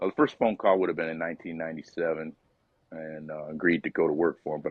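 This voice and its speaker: In a relaxed tone, a man speaks at a very deep, low pitch with monotone, flat intonation. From upstate New York. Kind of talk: interview answer. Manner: casual, relaxed.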